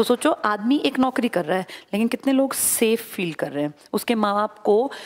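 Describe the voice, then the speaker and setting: Over a quiet background, a woman with a fairly high voice speaks at a moderate pace, her pitch making very wide swings. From India. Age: 40s. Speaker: exam coaching teacher. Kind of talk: motivational classroom talk. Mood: earnest, personal, persuasive. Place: classroom. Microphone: headset.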